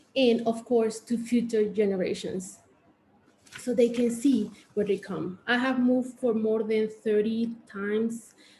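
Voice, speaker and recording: Somewhat breathy and dark, mellow in tone, a woman with a Mexican accent speaks fairly slowly at a fairly high pitch in a monotone, flat delivery. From Mexico (Oaxaca). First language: Spanish. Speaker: artist and arts educator. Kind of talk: panel presentation. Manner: halting, many fillers.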